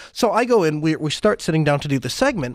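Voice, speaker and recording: In a very clean recording with a silent background, a man speaks very fast in a fairly high, animated voice with lively intonation. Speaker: podcast host. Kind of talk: casual chat.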